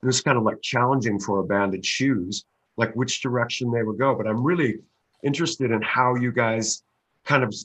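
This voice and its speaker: A plain, everyday voice with a Canadian accent, fairly quick pace and ordinary pitch variation, against a quiet background. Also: man, medium pitch for a man. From Canada. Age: 60s. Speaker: musician interviewer. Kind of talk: casual chat.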